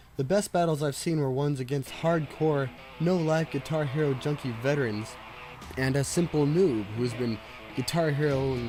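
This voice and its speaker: With music in the background, a man speaks quietly at a very even loudness, his pitch varying in an ordinary way. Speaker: game reviewer. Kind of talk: video game review narration.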